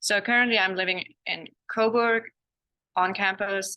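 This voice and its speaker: A woman with a German accent speaks at a fairly slow pace in a bright, sharp tone. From Germany. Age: 20s. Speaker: exchange student. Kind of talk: student testimonial in webinar.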